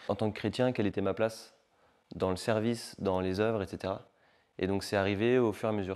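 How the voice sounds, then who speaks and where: Talking at a fairly quick pace with long, frequent pauses, a man with a fairly low pitch delivers his words in a monotone, flat intonation on a very clean recording with a silent background. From Paris region, northern suburbs (France). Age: 20s. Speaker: assistant pastor and refugee charity volunteer. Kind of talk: testimony interview. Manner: casual, hesitant with frequent fillers.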